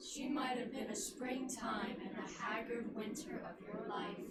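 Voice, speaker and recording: A female-sounding put-on character voice, high in pitch, goes at a moderate pace with a slight echo and loud background noise. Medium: stage play. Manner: solemn, measured.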